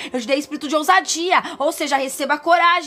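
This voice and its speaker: A woman speaks in a high, raised, projected voice with an animated tone. Her intonation is lively, and music plays in the background. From Brazil, São Paulo (São Bernardo do Campo). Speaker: online preacher. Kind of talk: devotional sermon.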